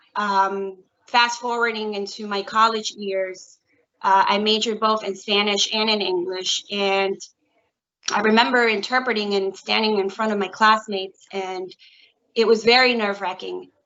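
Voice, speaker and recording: A woman's medium-pitched voice with monotone, flat intonation at a moderate pace. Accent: New York. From US Northeast (Bronx, New York City). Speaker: court interpreter. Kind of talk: career talk to students. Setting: video call.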